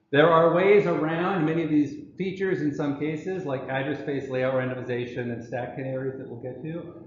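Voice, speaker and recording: A man's fairly high-pitched voice with ordinary pitch variation and big swings in loudness. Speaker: professor. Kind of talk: lecture. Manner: fast.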